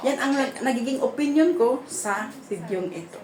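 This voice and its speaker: Over noticeable background noise, a woman talks in a high voice with very wide pitch swings. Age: 50s. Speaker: YouTube vlogger; vlogger giving opinion. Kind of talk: casual video commentary; casual vlog commentary. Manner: halting, many fillers. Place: home room. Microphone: phone near.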